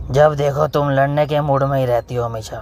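In a cartoonish character voice, a man speaks at a fairly high pitch and a fairly quick pace. Background noise is clearly audible. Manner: defensive.

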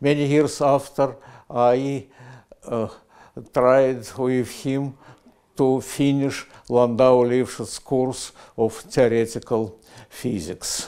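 A man with a Russian accent speaks in a dark, mellow tone at a very slow pace, his intonation fairly even, with long, frequent pauses and a quiet background. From Russia (Soviet Union), Moscow. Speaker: physicist. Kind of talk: prize acceptance speech, recorded. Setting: video recording. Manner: halting, many hesitations. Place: office. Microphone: lapel.

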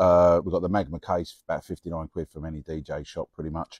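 A man's very deep, low voice, dark and mellow in tone, at a fairly quick pace, dry with no echo against a quiet background. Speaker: mobile DJ reviewing gear. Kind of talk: casual product review vlog. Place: street. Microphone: lapel.

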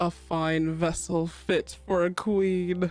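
Clear music plays behind a put-on character voice that speaks at a very slow pace.

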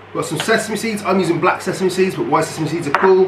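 Noticeable background noise sits behind this recording. A man speaks with a high pitch and ordinary pitch variation. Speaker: youth worker cooking host. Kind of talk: tutorial. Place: kitchen. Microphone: camera far.

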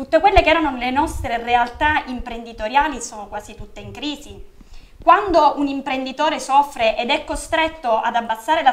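Speaking at a high pitch, a woman moves at a fairly quick pace. Her intonation is lively. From Sicily, Catania; Sicily. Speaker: local party organizer; guest. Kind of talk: political interview. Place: studio.

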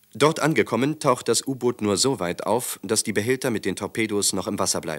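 A man speaks at a moderate pace with lively intonation. The sound is dry and close, with no echo. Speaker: documentary narrator. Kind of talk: 1940s-style wartime newsreel narration, scripted and dramatic. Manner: brisk, authoritative, clipped and urgent delivery; formal, declamatory, gravely emphatic.

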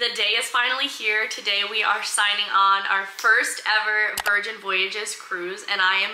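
Over noticeable background noise, a woman speaks at a moderate pace in a monotone, flat way with hardly any pauses. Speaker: travel vlogger. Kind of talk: casual vlog chat. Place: home room.

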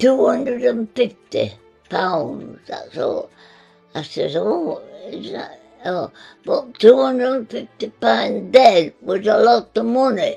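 A woman speaks at a very slow pace, her loudness swinging widely. Faint music plays in the background. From English Midlands, Nottinghamshire; English Midlands. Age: 80s+. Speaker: centenarian homeowner; interviewee. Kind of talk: casual chat; interview answer. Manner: halting. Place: home room.

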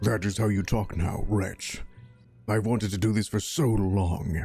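A man's put-on character voice, fairly low and at a moderate pace, with faint music in the background. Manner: bitter, then jubilant.

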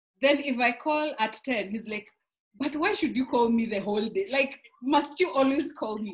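A woman speaks in a high voice at a moderate pace. The background is quiet. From Kenya. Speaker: pastor's wife. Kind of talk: interview. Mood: cheerful, laughing often. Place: home room. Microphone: video call.

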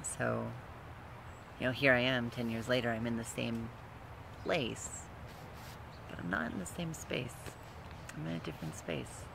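Noticeable background noise sits behind a man of medium pitch. He talks at a moderate pace with lively intonation and long, frequent pauses. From Utah, US. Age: 30s. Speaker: vlogger, transgender man and student. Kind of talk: casual personal vlog monologue. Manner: halting, with many fillers. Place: garden. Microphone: phone near.

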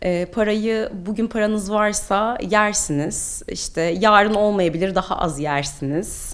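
A woman speaks at a very slow pace with hardly any pauses. Her pitch is medium, with ordinary pitch variation. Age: 30s. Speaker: English teacher and cancer survivor. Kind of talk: interview testimony. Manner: hesitant with frequent filler sounds.

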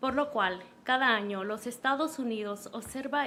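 Woman speaking at a very fast pace, bright and sharp in tone, with audible room echo. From Los Angeles (Pico Union), born in Honduras. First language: Spanish. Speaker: city councilor. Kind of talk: reading aloud a proclamation in Spanish. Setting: city council meeting. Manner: formal.

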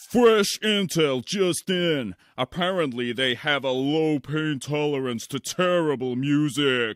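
Here a man talks at a fairly slow pace with hardly any pauses. His pitch is fairly high. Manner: dry, impatient.

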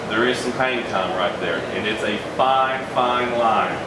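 A man is speaking with audible room echo. Loud background noise fills the recording. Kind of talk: guided tour explanation. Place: workshop. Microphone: camera far.

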